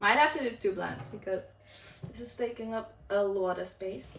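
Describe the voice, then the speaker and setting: The speaker has an animated tone, with noticeable background noise behind it. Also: woman. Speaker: cooking youtuber. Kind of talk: casual cooking tutorial.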